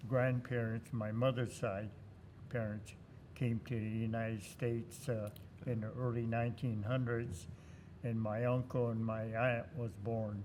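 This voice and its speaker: The voice is monotone and flat. It moves at a fairly slow pace. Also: man, medium pitch for a man. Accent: American. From US West Coast, California. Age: 90s. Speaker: war veteran. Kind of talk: interview. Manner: halting.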